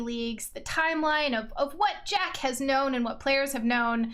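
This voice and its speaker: A woman speaks in an energetic tone at a high pitch and moderate pace. The recording has noticeable background noise and audible room echo. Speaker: podcast host. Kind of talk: casual interview.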